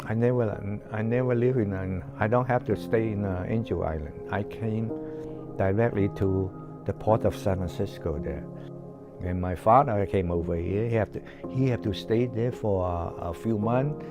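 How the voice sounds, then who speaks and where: With music in the background, a man speaks in a Chinese accent. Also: fairly low pitch for a man, lively intonation, moderate pace. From China. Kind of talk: interview answer. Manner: hesitant, halting.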